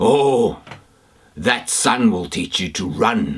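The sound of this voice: A man puts on a character voice, raspy and hoarse at medium pitch, and speaks at a very slow pace.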